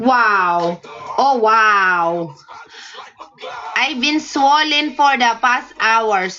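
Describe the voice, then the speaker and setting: Through noticeable background noise, a woman with a fairly high pitch speaks at a very slow pace with long, frequent pauses and very even loudness. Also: lively intonation. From Philippines. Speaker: live streamer. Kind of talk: casual chat with viewers. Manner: repetitive, halting.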